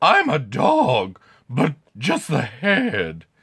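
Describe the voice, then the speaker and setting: A man puts on a cartoonish character voice. It sits at a fairly high pitch. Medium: puppet.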